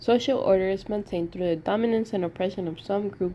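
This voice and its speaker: A woman's dark, mellow tone with a non-native accent, a fairly quick pace and lively intonation. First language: not English. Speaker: sociology student. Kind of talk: class assignment presentation.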